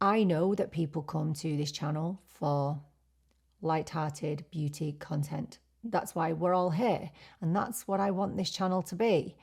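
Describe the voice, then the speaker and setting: Recorded very cleanly against a silent background, a woman with a fairly low, somewhat breathy voice speaks fairly slowly with ordinary pitch variation. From UK. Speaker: beauty YouTuber. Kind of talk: casual chat.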